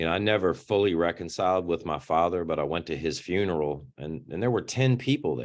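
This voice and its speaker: Over a quiet background, a man with a very deep, low pitch and vocal fry talks with lively intonation and hardly any pauses. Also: fairly quick pace. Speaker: nonprofit founder. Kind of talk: interview.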